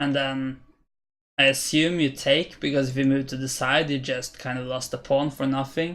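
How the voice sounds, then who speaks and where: Talking at a fairly slow pace in a fairly high pitch, a man with a Norwegian accent is heard in a very clean recording with a silent background. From Norway. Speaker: chess streamer. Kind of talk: live-stream commentary. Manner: hesitant, many fillers.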